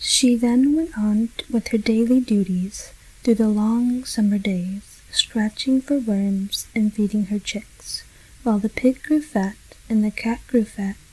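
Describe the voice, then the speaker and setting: The soft-spoken voice has a gentle tone and moves at a fairly slow pace. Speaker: ASMR storyteller. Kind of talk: soft-spoken ASMR story reading. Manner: soft-spoken, gentle.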